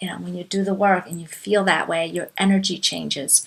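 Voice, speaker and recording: At a moderate pace, a woman speaks in a bright, sharp tone with a fairly low pitch and monotone, flat intonation. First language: not English. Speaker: life coach. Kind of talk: talk / webinar presentation.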